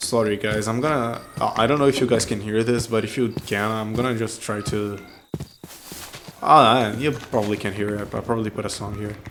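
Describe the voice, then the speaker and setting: Noticeable background noise accompanies a man speaking with fairly even intonation. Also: medium pitch for a man, fairly quick pace. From non-English-speaking country. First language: not English. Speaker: gaming YouTuber. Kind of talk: casual gameplay commentary. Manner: hesitant, many fillers and restarts.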